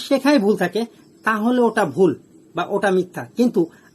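High male voice, ordinary in its pitch variation. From Bangladesh, Jessore. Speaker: angling vlogger. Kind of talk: tutorial.

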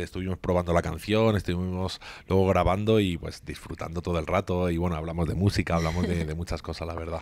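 Speaking at a fairly quick pace, a man has a very deep, low pitch. His intonation stays fairly even, and the sound is dry with no echo. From Spain. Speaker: singer-songwriter; guest. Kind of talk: interview. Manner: halting, many repetitions. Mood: warm, reflective. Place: office. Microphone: handheld.

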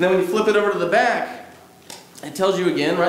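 Audible room echo around a man's voice. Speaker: pastor. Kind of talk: sermon. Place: church.

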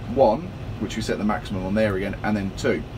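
A man talks over noticeable background noise. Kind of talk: casual tutorial vlog. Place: farm machine. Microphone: phone near.

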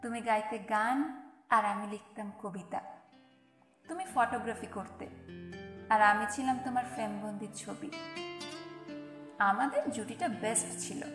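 Music plays in the background as a woman speaks with big swings in loudness. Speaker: poetry reciter. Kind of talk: poetry reading. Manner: tender, wistful.

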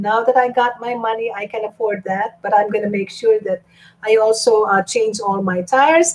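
Her voice sits at a fairly high pitch. The woman speaks at a moderate pace. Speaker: YouTube live streamer. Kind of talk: live stream chat reading viewer comments. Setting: live stream at home. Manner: animated. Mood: cheerful, playful. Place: home room. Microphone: webcam.

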